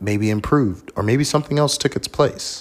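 With lively intonation, a man is speaking. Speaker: solo podcast host. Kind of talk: casual solo monologue. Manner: reflective, inflected tone.

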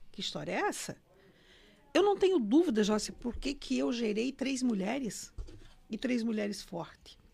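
A woman's high-pitched voice with very wide pitch swings at a moderate pace. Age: 60s. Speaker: numerologist and former bank director. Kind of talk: interview. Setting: studio.

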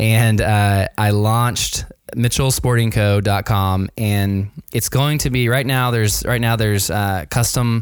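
A man's medium-pitched voice with an American accent, fairly even intonation, a fairly slow pace, very even loudness, and an ordinary speaking voice. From US South, Nashville, Tennessee. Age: 40s. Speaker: designer and small business owner. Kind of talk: interview. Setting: remote call from home.

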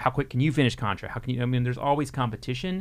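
A man talks very fast with an American accent. His pitch is medium. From Texas. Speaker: video game magazine editor. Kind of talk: casual interview.

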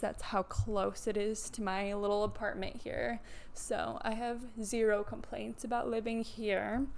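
Speaking at a fairly slow pace, a woman has a fairly high voice. She talks with an American accent. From US Midwest (Midland, Michigan). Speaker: physical therapist and fitness coach. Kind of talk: casual solo monologue.

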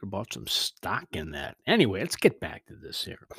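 Here a man is talking. The sound is dry and close, with no echo. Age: 60s. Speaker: podcast host. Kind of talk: solo podcast monologue. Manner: halting.

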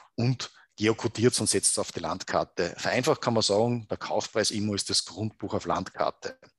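With a quiet background and a dry, close sound with no echo, a man speaks at a moderate pace in a normal speaking voice, fairly low in pitch with fairly even intonation. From Upper Austria, Salzkammergut. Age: 50s. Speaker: proptech company co-founder. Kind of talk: interview.

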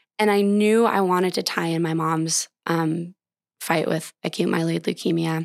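In a very clean recording with a silent background and a dry, close sound with no echo, a woman with a normal speaking voice talks at a moderate pace and a fairly low pitch, with fairly even intonation and very even loudness. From Montana, Bozeman area. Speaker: endurance runner. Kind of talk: interview.

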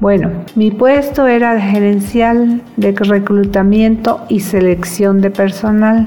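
A woman's medium-pitched voice at a very slow pace, with hardly any pauses, fairly even intonation and very even loudness, over noticeable background noise. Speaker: psychologist and entrepreneur. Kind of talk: personal testimony.

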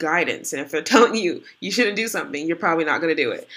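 A woman uses a normal speaking voice, fairly low in pitch, with lively intonation. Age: 20s. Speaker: podcast co-host, college student. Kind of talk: casual chat. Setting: in person together.

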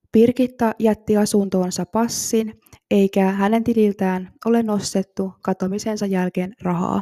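A woman's ordinary speaking voice at a medium pitch, fairly slow and fairly even in intonation, in a very clean recording with a silent background and a dry, close sound with no echo. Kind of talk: true-crime narration. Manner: calm, measured, factual storytelling; formal, even and serious.

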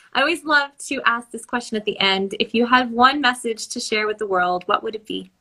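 At a fairly quick pace with hardly any pauses, a woman speaks with a fairly high pitch, ordinary pitch variation and a bright, sharp tone. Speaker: podcast host. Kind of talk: casual interview chat.

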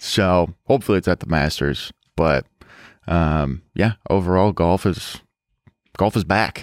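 On a very clean recording with a silent background, a man with a very deep, low pitch and vocal fry speaks at a fairly slow pace with ordinary pitch variation and long, frequent pauses. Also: dry, close sound with no echo. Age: 20s. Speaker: podcast co-host. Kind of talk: casual chat. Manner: mumbling; slurred speech.

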